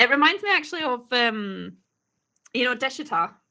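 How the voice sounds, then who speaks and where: A woman with a Scottish accent speaks at a high pitch with very wide pitch swings, a bright, sharp tone and a moderate pace. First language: not English. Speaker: YouTube reaction host. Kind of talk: casual chat. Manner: animated.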